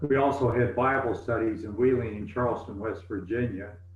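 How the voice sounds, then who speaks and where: A man with an American accent talks at a moderate pace and medium pitch with ordinary pitch variation, and the room echo is audible. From US South, East Tennessee. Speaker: retired pastor. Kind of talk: interview.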